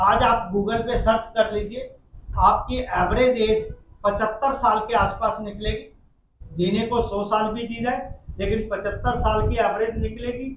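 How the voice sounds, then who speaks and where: A man talks in a high pitch with monotone, flat intonation. Audible room echo and noticeable background noise are present. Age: 60s. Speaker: community organization president. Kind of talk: press conference Q&A. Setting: press conference.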